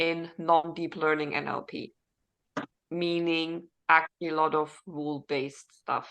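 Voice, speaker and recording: A woman with a fairly low pitch and a bright, sharp tone speaks at a fairly slow pace. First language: not English (English is third language). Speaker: data scientist and teacher. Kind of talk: panel interview.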